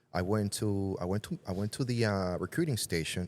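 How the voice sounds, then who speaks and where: A man with a Puerto Rican accent at a moderate pace, in a very clean recording with a silent background. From Puerto Rico. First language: Spanish. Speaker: retired army veteran, entrepreneur. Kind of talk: interview answer.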